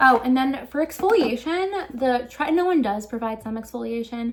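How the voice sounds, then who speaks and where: A woman talks with lively intonation. Noticeable background noise runs under her voice. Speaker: beauty vlogger. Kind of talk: casual tutorial. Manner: fast.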